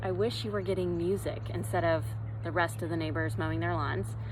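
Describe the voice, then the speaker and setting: Her words come at a fairly quick pace. The woman's voice carries audible room echo. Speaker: yoga instructor. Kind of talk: fitness class instruction. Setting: outdoors. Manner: loud; calm, soothing.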